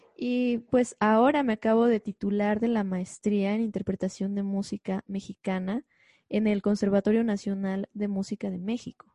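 A woman speaks at a moderate pace in a medium pitch, her tone dark, mellow and somewhat breathy. Her intonation stays monotone and flat, and the sound is dry and close with no echo. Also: quiet background. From Mexico, Xalapa, Veracruz. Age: 20s. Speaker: concert pianist. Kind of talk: interview conversation.

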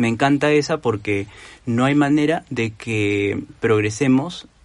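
In a normal speaking voice, a man talks at a medium pitch with ordinary pitch variation. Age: 30s. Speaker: doctor and entrepreneur talking about personal finance. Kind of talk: casual interview.

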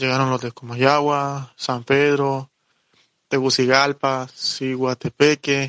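The sound is dry and close, with no echo. A man speaks at a very slow pace in a monotone, flat intonation. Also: medium pitch for a man. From Honduras. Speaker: hip hop dancer and migrant. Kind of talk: personal testimony interview.

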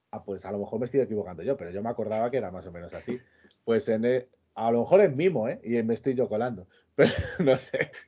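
A man with a medium pitch speaks at a very fast pace with lively intonation. His loudness swings widely. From Extremadura, Spain. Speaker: podcast co-host. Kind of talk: casual chat.

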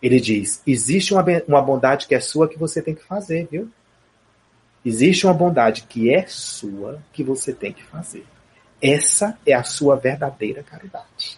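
The speaker uses a normal speaking voice at a moderate pace. The intonation is lively. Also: man, fairly high pitch for a man. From Brazil, Piauí. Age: 40s. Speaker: spiritist speaker and theatre director. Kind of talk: interview on spirituality.

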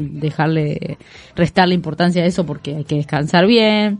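Her voice unremarkable, a woman speaks at a moderate pace with a fairly low pitch and ordinary pitch variation. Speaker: radio co-host. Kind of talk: casual radio chat with read-out segments.

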